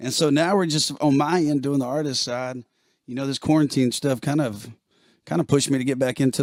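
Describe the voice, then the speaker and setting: With an American accent, a man is speaking. His pace is moderate and his pitch medium. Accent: country twang. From Alabama, US South (Alexander City). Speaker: country singer and bass player. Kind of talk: casual interview on live stream. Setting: live stream video call.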